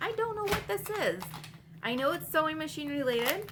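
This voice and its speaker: A woman projects a raised voice with very wide pitch swings. Noticeable background noise and audible room echo are present. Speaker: online reseller, vlogger. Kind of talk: casual haul vlog. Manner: fast; casual, chatty.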